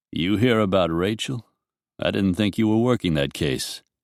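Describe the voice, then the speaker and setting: A man puts on a gruff character voice with a fairly low pitch and very even loudness, speaking at a moderate pace. The sound is dry and close with no echo, in a very clean recording with a silent background. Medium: read story. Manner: gruff, terse.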